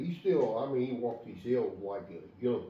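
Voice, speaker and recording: Over noticeable background noise and audible room echo, a man speaks at a fairly slow pace with very wide pitch swings. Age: 70s. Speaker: bear hunter. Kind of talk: casual chat.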